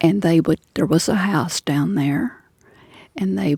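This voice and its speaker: A woman's fairly low-pitched voice, dark and mellow in tone with vocal fry, in a dry, close sound with no echo. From western Kentucky (Union County). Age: 80s+. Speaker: elderly interviewee recalling farm life. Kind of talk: oral history interview.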